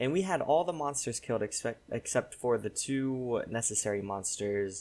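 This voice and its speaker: A man with a normal speaking voice talks at medium pitch. His intonation is lively and his pace moderate. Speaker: gaming YouTuber. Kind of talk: game commentary. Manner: casual, filler-heavy.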